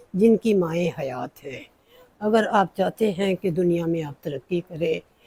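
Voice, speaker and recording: A woman's medium-pitched voice with lively intonation, a dry, close sound with no echo, and noticeable background noise. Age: 70s. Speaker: cooking vlogger. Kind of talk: personal monologue.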